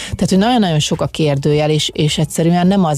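Fairly low female pitch, its variation ordinary. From Hungary, Szolnok. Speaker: former water polo player. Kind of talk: interview. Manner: halting.

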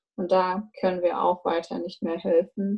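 A woman's somewhat breathy voice moves at a fairly slow pace. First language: Russian (speaking German). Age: 20s. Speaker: university student. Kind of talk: casual chat.

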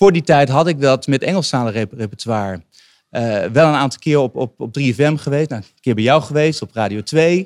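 A man speaks with lively intonation at a fairly high pitch. The recording is very clean, with a silent background and a dry, close sound free of echo. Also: moderate pace, big swings in loudness. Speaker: singer-songwriter. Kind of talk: casual interview. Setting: live recording in a wine bar. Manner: soft-spoken.

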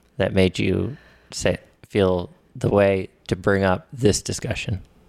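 A man's ordinary speaking voice, fairly low in pitch, at a fairly slow pace, dry and close with no echo. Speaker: podcast host. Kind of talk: casual chat.

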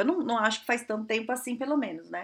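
A female voice pitched high, its tone bright and sharp. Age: 30s. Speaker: career coach and podcast host. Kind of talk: solo podcast monologue, advice. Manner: casual, conversational with many fillers.

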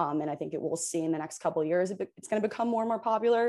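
Dark, mellow tone from a woman, fairly low in pitch with ordinary pitch variation, against a quiet background. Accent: American. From Hoboken, New Jersey. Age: 20s. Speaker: law student and sports agent. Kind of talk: interview.

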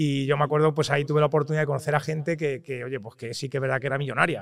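A man's fairly high voice, very fast and monotone, with flat intonation. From Spain, Toledo. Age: 30s. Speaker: real estate investor and tech entrepreneur. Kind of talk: interview. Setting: recorded in person at an event.

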